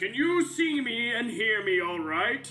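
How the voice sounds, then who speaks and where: A man uses a put-on character voice at an extremely high pitch, speaking at a fairly slow pace. Clear music plays in the background. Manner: friendly, loud.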